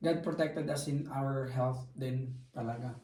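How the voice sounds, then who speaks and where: With a dark, mellow tone and a fairly high pitch, a man speaks in a monotone, flat intonation amid audible room echo. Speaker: vlogger. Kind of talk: casual chat. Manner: loud.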